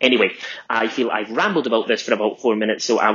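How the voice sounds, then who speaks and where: A man speaks at medium pitch in a Scottish accent. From Scotland. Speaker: fan of the show. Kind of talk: recorded monologue.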